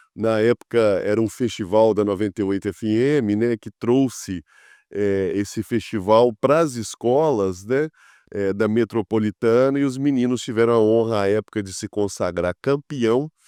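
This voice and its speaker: Against a quiet background, a man with a medium pitch and a dark, mellow tone speaks at a fairly slow pace with ordinary pitch variation, the sound dry and close with no echo. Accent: Minas Gerais. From Minas Gerais, Brazil (Contagem, near Belo Horizonte). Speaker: city councillor, politician. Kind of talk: podcast interview.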